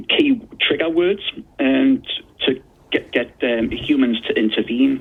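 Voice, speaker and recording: A man speaks with a Geordie accent at a fairly slow pace. His loudness stays very even. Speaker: consumer disputes expert. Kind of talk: radio interview.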